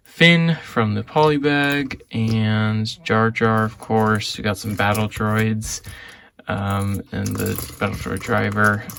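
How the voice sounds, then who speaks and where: Noticeable background noise surrounds a man with a fairly low voice. He speaks at a very slow pace with ordinary pitch variation. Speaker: Lego reseller vlogger. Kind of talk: casual vlog unboxing. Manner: quiet; hesitant, many fillers.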